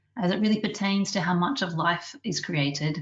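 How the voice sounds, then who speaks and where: A somewhat breathy woman speaks with an Australian accent. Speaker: scientist and webinar chair. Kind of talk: webinar introduction. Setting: online webinar. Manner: formal.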